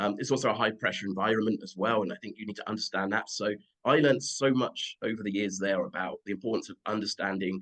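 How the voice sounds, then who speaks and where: A man's fairly low voice at a very fast pace, with hardly any pauses, big swings in loudness, and ordinary pitch variation. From United Kingdom. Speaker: football agent. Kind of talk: interview answer.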